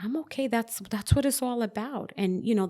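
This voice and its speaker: A woman with a normal speaking voice talks at a fairly quick pace with ordinary pitch variation, in a very clean recording with a silent background. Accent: American. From New York, the Bronx. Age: 40s. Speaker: author. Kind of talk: interview. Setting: sunroom.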